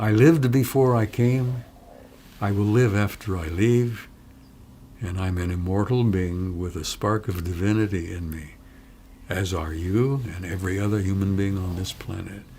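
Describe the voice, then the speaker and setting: A somewhat breathy man speaks at a moderate pace and a fairly low pitch. His tone is dark and mellow, with ordinary pitch variation. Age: 80s+. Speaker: former military intelligence analyst. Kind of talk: interview. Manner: animated.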